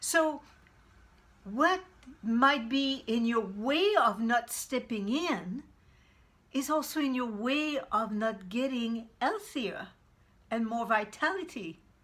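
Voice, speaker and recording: In a Quebec accent, a woman speaks very slowly with long, frequent pauses, her high pitch carried by lively intonation. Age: 60s. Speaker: vegan cooking coach. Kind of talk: motivational talk to camera. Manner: halting, many repetitions.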